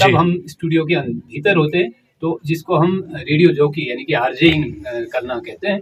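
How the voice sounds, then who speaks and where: Here is a man with a fairly high pitch and ordinary pitch variation. It is an unremarkable speaking voice. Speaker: community radio jockey. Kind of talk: interview answer.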